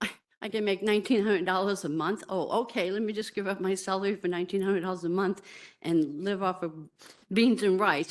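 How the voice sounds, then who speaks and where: A woman with a normal speaking voice talks fairly quickly at a medium pitch. The background is quiet. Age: 60s. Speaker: nurse, member of the public giving comment. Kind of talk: public hearing testimony.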